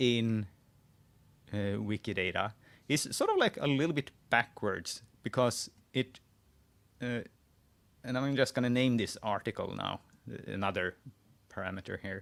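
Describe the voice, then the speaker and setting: Pausing long and often, a man speaks at a medium pitch with a Swedish accent. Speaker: wiki editor live-streaming. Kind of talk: live screen-share tutorial. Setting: live stream. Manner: halting, many restarts.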